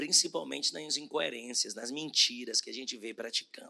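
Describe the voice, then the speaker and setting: This man speaks with a bright, sharp tone, vocal fry and very wide pitch swings. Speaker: bishop preaching. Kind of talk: sermon. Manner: slow, deliberate.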